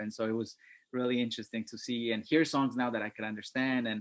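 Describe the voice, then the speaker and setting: This man's fairly quick delivery keeps a fairly even intonation. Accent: Spanish. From Mexico (Puebla) and New York City (Bronx, Queens). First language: Spanish. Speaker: hip hop MC, artist. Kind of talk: panel discussion. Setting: video call. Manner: halting, many fillers and repetitions.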